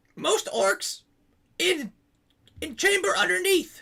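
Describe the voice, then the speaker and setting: The delivery unfolds at a fairly slow pace. A put-on character voice carries it. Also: extremely high pitch. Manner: talking with a full mouth.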